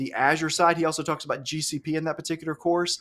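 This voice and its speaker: Animated in tone, a man with an Alabama accent speaks at a fairly high pitch. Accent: Southern US (Alabama). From US South, Alabama. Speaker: cloud instructor and live show host. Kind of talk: live webinar chat. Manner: fast.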